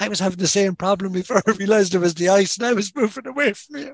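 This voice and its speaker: In a Cork accent, a man talks at a very fast pace, the sound dry and close with no echo. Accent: Cork Irish. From Ireland, Kinsale, County Cork. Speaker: fly angler, medical professional. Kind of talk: casual interview chat.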